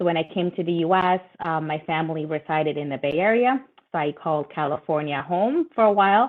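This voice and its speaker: Speaking at a fairly quick pace with a Spanish accent, a woman uses a fairly low pitch and ordinary pitch variation. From Latin America (Nicaragua, Brazil, Ecuador, Peru, Colombia), moved to US at 12. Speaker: lawyer, panelist. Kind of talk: webinar panel discussion. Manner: hesitant, many fillers.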